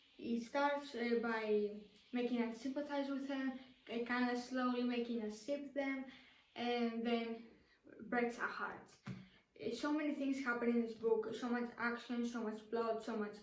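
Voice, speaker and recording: A high-pitched woman at a moderate pace, monotone and flat in intonation, with audible room echo. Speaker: book youtuber. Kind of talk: casual vlog talk to camera. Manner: halting, many fillers and restarts.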